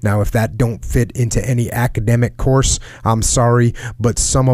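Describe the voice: Reading aloud, plainly.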